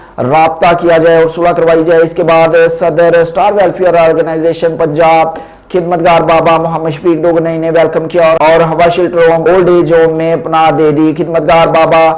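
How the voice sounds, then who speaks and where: There is noticeable background noise as a man with a high pitch speaks in monotone, flat intonation. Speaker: news presenter. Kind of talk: news report read.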